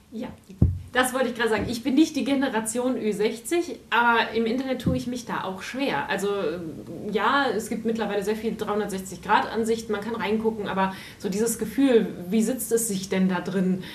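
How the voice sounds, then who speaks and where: Noticeable background noise and audible room echo accompany a woman speaking at a fairly high pitch. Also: ordinary pitch variation, moderate pace. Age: under 60. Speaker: radio host. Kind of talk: interview.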